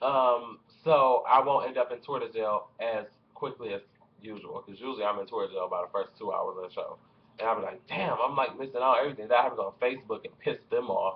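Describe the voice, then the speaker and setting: An American accent marks this man's speech, delivered at a fairly quick pace. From US. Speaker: vlogger. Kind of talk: angry rant. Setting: home, webcam vlog. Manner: irritated, sarcastic, complaining; casual, fast, profane. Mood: annoyed ranting. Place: home room. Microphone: webcam.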